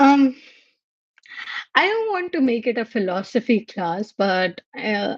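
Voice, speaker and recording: A woman speaks very slowly in an Indian accent, her pitch swinging very widely. Long pauses come often, and the sound is dry and close with no echo. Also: fairly high pitch for a woman. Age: 20s. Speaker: livestream host, microbiology researcher. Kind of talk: casual livestream chat. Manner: halting.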